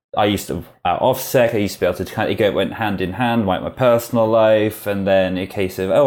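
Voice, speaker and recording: Speaking with a British accent, the man has a fairly low pitch. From UK, rural village. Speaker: security company manager. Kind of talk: interview.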